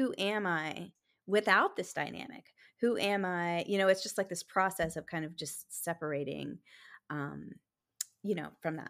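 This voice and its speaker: A woman with a plain, everyday voice, fairly low in pitch, with ordinary pitch variation at a moderate pace, on a very clean recording with a silent background. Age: 40s. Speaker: dating coach. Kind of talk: interview.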